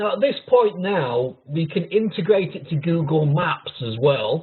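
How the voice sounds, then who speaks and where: In a Yorkshire accent, a man speaks at a high pitch and a fairly slow pace. His intonation is lively, and his loudness swings widely. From Yorkshire, northern England. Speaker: technical pre-sales consultant. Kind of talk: webinar product demo. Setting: online webinar.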